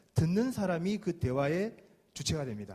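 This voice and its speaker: A man's high voice with a dark, mellow tone and very wide pitch swings. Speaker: insurance sales lecturer. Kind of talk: lecture. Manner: fast.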